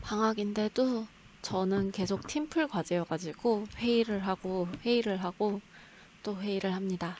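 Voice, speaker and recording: A woman with an unremarkable speaking voice, talking at a fairly slow pace. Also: medium pitch for a woman, ordinary pitch variation. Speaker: graduate student vlogger. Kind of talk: vlog narration.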